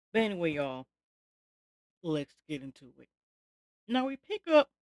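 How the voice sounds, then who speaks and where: In a dry, close sound with no echo, a woman with a fairly low pitch speaks at a fairly slow pace in a tired tone, her pitch swinging very widely. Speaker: TV review YouTuber. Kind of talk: casual review recap. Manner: slow, tired; halting, many fillers.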